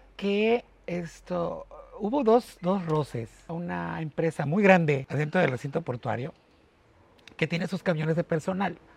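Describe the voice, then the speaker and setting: A man with a high pitch, fairly slow pace and ordinary pitch variation, in a dry, close sound with no echo amid noticeable background noise. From Mexico, port of Veracruz. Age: 40s. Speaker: port worker and online radio host. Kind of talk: interview conversation.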